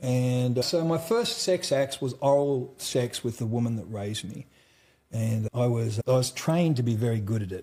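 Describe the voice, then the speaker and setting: With an Australian accent, a man talks in a dark, mellow tone that is somewhat breathy. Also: medium pitch for a man, ordinary pitch variation, moderate pace. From central Australia. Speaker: trauma survivor and mental health speaker. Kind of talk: interview testimony. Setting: conference in Dallas. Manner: casual, uses mate and brother.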